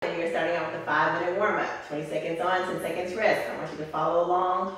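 Speech comes at a very fast pace with fairly even intonation, set in strong room echo. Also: woman. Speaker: fitness instructor. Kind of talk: workout class instruction. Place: gym.

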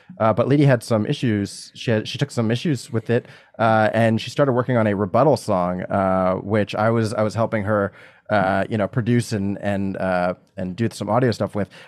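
A man speaks in a fairly low pitch at a moderate pace. His pitch variation is ordinary, and the background is quiet. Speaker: comedian. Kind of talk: casual chat. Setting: video call. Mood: playful, laughing banter. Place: home room. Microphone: studio mic.

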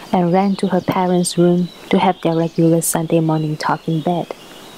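Noticeable background noise behind a woman talking at a moderate pace and a medium pitch. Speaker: painter. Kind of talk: read story.

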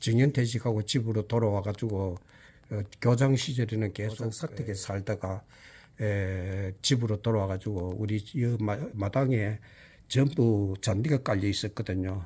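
A man talks fairly slowly in a fairly low, dark, mellow tone that is somewhat breathy, with fairly even intonation. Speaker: retired school principal. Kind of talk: garden tour vlog narration. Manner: halting, many fillers.

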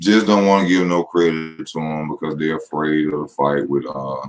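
The speech moves at a moderate pace. There is little pitch movement. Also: man, extremely low pitch for a man.

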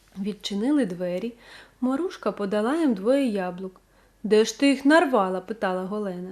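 The unforced reading voice carries lively intonation.

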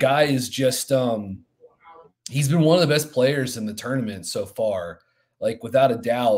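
Light background noise accompanies speech delivered fairly slowly. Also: man. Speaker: podcast co-host analyst. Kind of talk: sports commentary chat. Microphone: headset.

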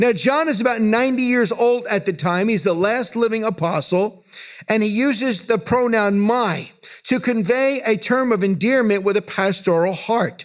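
Against a quiet background, a man talks at a moderate pace with a high pitch and ordinary pitch variation. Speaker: pastor. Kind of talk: sermon. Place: church. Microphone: podium.

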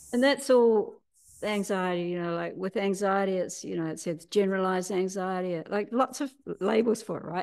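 A woman speaks at a moderate pace with an ordinary amount of pitch variation. She has a New Zealand accent, and the background is quiet. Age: 60s. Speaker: healer and teacher; teacher. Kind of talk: interview. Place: home room. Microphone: video call.

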